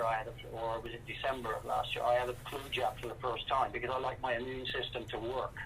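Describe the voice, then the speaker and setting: A man with a West Country accent, at a fairly quick pace, in a monotone, flat intonation. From west of England, Welsh borders. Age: 60s. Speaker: rock drummer. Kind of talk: interview.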